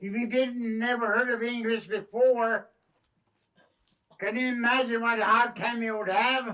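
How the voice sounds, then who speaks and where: Raised and projected, the man's high-pitched voice has a bright, sharp tone. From Canada, Métis. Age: 80s+. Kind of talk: ceremonial talk to schoolchildren.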